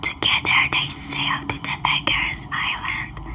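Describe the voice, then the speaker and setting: A woman's whispering, soothing tone at a very slow pace, with noticeable background noise. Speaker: ASMR creator. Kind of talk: whispered bedtime storytelling (ASMR). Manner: whispered, soft-spoken, soothing.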